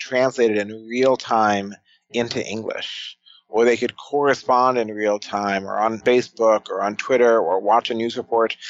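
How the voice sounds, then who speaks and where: This man has an unremarkable speaking voice and an American accent. His pitch is medium and his pace moderate. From United States. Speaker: futurist and author. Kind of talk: podcast interview.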